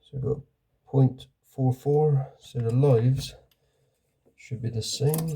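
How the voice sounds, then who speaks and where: A man's somewhat breathy, dark, mellow voice at medium pitch, monotone and flat in intonation, at a fairly slow pace with long, frequent pauses and big swings in loudness. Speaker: electrician. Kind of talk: casual talk to camera while working.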